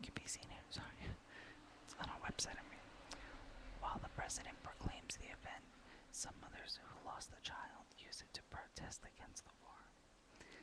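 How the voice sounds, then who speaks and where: A woman whispering at a moderate pace, with long, frequent pauses and noticeable background noise. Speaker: ASMR whisperer / video blogger. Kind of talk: whispered ASMR reading of facts. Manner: whispered, soft-spoken.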